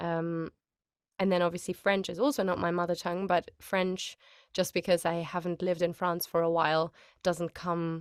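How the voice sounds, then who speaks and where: In a German accent, a woman speaks at a moderate pace with monotone, flat intonation and a fairly low pitch, the sound dry and close with no echo in a very clean recording against a silent background. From Germany. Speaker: voice actor. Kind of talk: interview. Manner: casual, hesitant with fillers.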